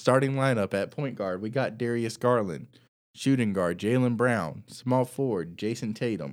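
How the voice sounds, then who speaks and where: This is a man's voice at a medium pitch. It is a normal speaking voice. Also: ordinary pitch variation, moderate pace, very clean recording, silent background. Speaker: podcast host. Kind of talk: casual chat.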